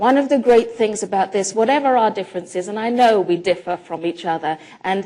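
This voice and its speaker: A woman's dark, mellow tone with ordinary pitch variation, in an American accent. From England. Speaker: professor and speaker. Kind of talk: conference talk. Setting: conference hall with audience. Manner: conversational.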